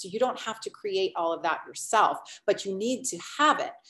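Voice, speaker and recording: A woman with an unremarkable speaking voice talks at a moderate pace. Her pitch is medium, with ordinary pitch variation. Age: 50s. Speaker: online business coach. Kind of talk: webinar presentation.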